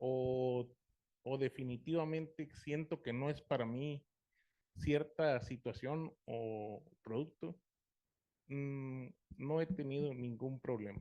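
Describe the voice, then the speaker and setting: A man speaks at a very slow pace and medium pitch with ordinary pitch variation, leaving long, frequent pauses. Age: 40s. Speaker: support group member. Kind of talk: group sharing.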